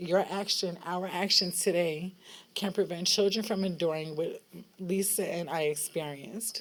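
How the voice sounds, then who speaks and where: A woman talks in a plain, everyday voice at medium pitch. Her intonation is fairly even and her pace moderate. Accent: American. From New York City. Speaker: foster care survivor, advocate. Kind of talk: public testimony. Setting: rally at state capitol.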